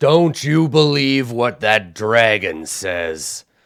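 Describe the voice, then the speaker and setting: Using a put-on character voice, a man speaks at a medium pitch and a very slow pace with very wide pitch swings. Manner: hard-to-do character voice.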